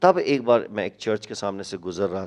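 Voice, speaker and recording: A normal speaking voice from a man, fairly low in pitch, at a fairly quick pace. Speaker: pastor. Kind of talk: interview, sharing testimony and prayer. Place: studio. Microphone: handheld.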